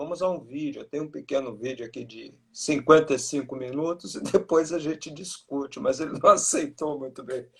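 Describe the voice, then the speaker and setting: The speech runs at a moderate pace with hardly any pauses, big swings in loudness and ordinary pitch variation. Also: man, fairly high pitch for a man. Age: 60s. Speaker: breast milk bank expert. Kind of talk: interview. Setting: video call.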